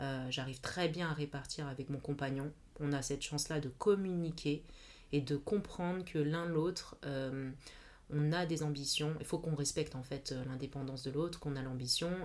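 At a moderate pace, a woman speaks with a very deep, low pitch and fairly even intonation. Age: 30s. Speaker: mother and feminist network founder. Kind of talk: casual interview. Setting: at her home. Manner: hesitant, many fillers.

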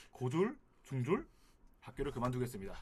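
A man speaks in a normal speaking voice at a medium pitch and a fairly quick pace. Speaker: guest reviewer. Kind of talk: casual chat.

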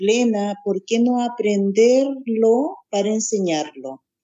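A woman speaks very slowly in a fairly high voice. Her pitch moves up and down in an ordinary way. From Chile, Santiago. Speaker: spiritual teacher. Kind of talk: interview.

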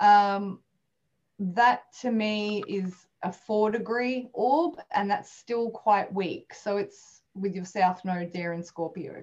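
A woman's medium-pitched voice in an Australian accent, very slow in pace, with ordinary pitch variation. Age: 30s. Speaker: astrologer and spiritual healer. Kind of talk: interview.

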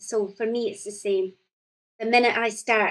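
This woman speaks with a Scottish accent. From Scotland, central region. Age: 40s. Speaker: poet. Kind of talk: casual chat.

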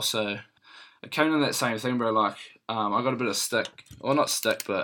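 Speaking at a fairly quick pace, a man with a New Zealand accent comes through on a very clean recording with a silent background. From New Zealand, Christchurch. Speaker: professional rugby player. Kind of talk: casual interview chat.

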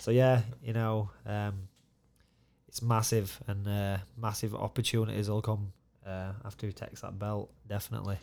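On a very clean recording with a silent background, a man with a Yorkshire accent speaks at a moderate pace in a fairly low, monotone, flat voice. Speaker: mixed martial arts fighter and coach. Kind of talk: casual chat.

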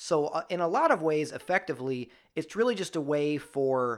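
The voice belongs to a man. The background is silent and the recording very clean. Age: 30s. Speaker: podcast host. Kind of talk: casual chat. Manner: halting, lots of fillers and restarts.

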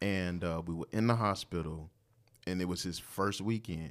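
The speaker has an American accent and moves at a moderate pace. Pitch variation is ordinary. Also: man. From Portsmouth, Virginia. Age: 40s. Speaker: father and former church minister of music. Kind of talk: casual chat.

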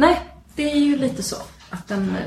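A woman talks with very wide pitch swings. Noticeable background noise and audible room echo fill the recording. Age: 40s. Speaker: podcast co-host. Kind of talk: casual chat. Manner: halting.

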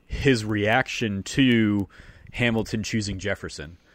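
Very clean recording, silent background. A man with a fairly low pitch speaks with fairly even intonation. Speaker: podcast host. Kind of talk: casual interview chat.

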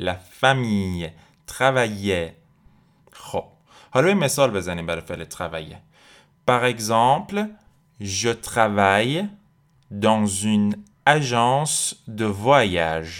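Speaking at a fairly slow pace with long, frequent pauses, a man uses lively intonation at a fairly low pitch. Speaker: French language teacher podcast host. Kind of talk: tutorial.

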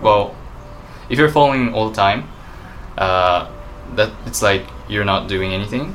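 A man with a Japanese accent and a fairly low pitch speaks at a fairly slow pace, with ordinary pitch variation and long, frequent pauses, over noticeable background noise. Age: 20s. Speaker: vegan YouTuber. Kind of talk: casual chat.

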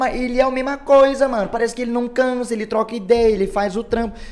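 A man with a high pitch talks at a very fast pace. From Brazil, São Luís do Paraitinga (São Paulo interior). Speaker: podcast host, musician. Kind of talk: casual chat.

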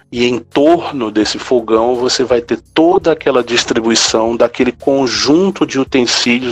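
The speaker has a Ceará accent and keeps a moderate pace. The sound is dry and close with no echo, though background noise is noticeable. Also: man. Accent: Brazilian Northeastern (Cearense) Portuguese. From Brazil, Ceará (Quixadá). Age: 50s. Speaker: professor and researcher. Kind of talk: podcast interview, lecture-like explanation. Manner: halting, frequent repetitions.

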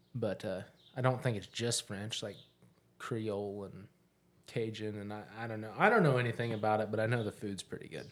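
A man speaks with a normal speaking voice at fairly low pitch, keeping a fairly quick pace and fairly even intonation despite big swings in loudness. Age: 30s. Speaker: podcast host. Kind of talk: casual chat.

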